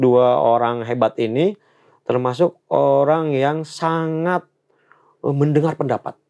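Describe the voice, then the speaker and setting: Against a quiet background, a man talks at a very slow pace in a dark, mellow tone. His pitch is medium, with ordinary variation. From Banten, Lebak regency (fishing village); Banten, Indonesia. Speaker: political staffer, former journalist; former journalist. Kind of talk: interview. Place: studio.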